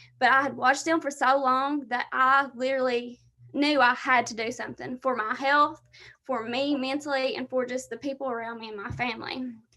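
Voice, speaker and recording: A raised, projected voice comes out bright and sharp at a fairly quick pace. The intonation stays monotone and flat. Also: woman, high pitch for a woman. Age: 20s. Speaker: fitness coach. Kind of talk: presentation on a team video call.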